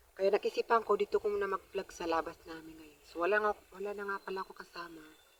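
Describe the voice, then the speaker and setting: A woman talks very fast at a medium pitch, with fairly even intonation. Her loudness swings widely in a dry, close sound with no echo. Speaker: vlogger. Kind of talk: casual vlog. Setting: outdoors.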